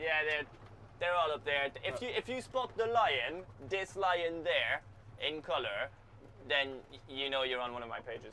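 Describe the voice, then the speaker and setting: Over noticeable background noise, a man with a fairly high pitch speaks at a moderate pace, making very wide pitch swings and taking long, frequent pauses. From France, Brittany. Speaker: music producer. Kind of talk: casual interview. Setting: in a car.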